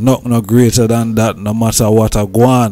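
A man's medium-pitched voice at a fairly slow pace. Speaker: podcast host. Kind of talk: interview. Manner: halting.

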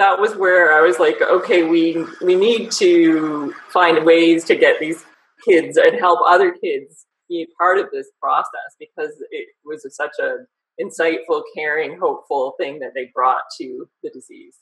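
Speech unfolds at a fairly slow pace. Nothing disturbs the quiet background. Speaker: guest. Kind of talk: interview answer. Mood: warm, smiling. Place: home room. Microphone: video call.

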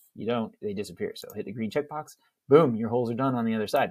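Speaking at a very fast pace, a man shows big swings in loudness. The background is quiet. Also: ordinary pitch variation. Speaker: CAD instructor. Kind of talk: tutorial.

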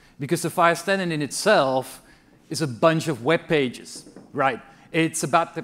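A man talks, his pitch moving in an ordinary way. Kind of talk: opening keynote speech. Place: hall. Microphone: podium.

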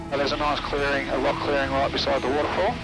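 Over clear background music, a man speaks at a very fast pace in a dry sound with no echo. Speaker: helicopter pilot guide. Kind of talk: interview answer. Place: plane. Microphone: headset.

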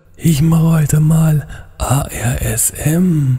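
This is a cartoonish character voice. Its pitch sits in the middle. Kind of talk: parody ASMR relaxation talk. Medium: puppet. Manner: whispered.

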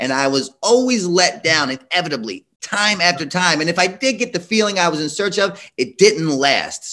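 Against a quiet background, a man talks at a moderate pace in a bright, sharp tone with very wide pitch swings. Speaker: addiction intervention professional. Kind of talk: panel discussion. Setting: video call. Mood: earnest, reflective. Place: home room. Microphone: video call.

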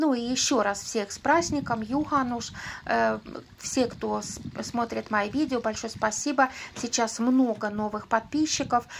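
A woman's fairly high voice at a fairly slow pace, with fairly even intonation and noticeable background noise. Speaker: vlogger answering subscriber questions. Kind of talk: casual vlog monologue. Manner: chatty, informal.

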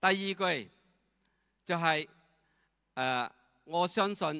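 Speaking very slowly with a non-native accent, a man has a fairly high, bright, sharp voice and lively intonation against a quiet background. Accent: non-native Cantonese. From Myanmar. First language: not Cantonese (speaking Chinese). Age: 70s. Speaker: retired direct-sales leader. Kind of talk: testimony. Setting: stage with audience. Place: hall. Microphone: handheld.

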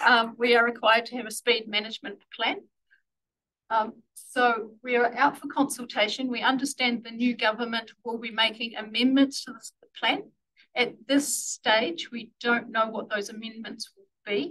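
A woman's bright, sharp, fairly high-pitched voice with a New Zealand accent, fairly even intonation, big swings in loudness, and a moderate pace. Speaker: council transport planning staff. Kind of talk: formal presentation to a board.

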